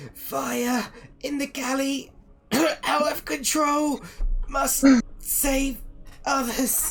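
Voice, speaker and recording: A put-on character voice, croaky and hoarse, very slow with long, frequent pauses, over music in the background. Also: man. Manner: urgent, desperate.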